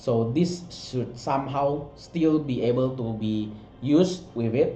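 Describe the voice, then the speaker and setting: Audible room echo surrounds a man with a non-native accent who speaks at a very slow pace and a medium pitch, with ordinary pitch variation. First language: not English. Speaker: miniature sculptor and art director. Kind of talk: product walkthrough. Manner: halting, many fillers and restarts.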